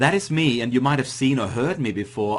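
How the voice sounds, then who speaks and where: A man speaks at a very fast pace with a medium pitch. His voice is somewhat breathy, with ordinary pitch variation. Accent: Austrian. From Austria. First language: German. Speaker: internet marketing coach. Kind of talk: webinar presentation.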